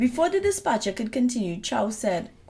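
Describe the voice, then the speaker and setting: This voice belongs to a woman. It has a somewhat breathy quality. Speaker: true crime podcast co-host. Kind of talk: casual chat; case narration.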